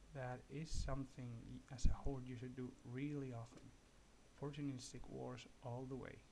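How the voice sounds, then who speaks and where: A somewhat breathy man at medium pitch, monotone and flat, moderate in pace with big swings in loudness, in audible room echo. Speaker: gaming youtuber. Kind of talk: gameplay tutorial commentary. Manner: soft-spoken; halting.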